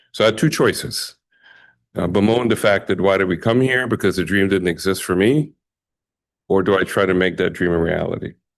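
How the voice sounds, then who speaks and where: A man's fairly low voice at a fairly quick pace, with ordinary pitch variation, very even loudness and a quiet background. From Bahamas (Jamaican family). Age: 60s. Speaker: community leader, award recipient. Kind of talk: acceptance speech. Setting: ceremony with audience. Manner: halting, many fillers.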